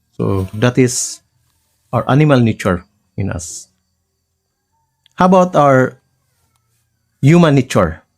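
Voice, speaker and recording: A man with a medium pitch speaks at a fairly slow pace, his pitch swinging very widely. He takes long, frequent pauses while music plays in the background. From Philippines. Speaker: life coach. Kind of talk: lecture. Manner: halting.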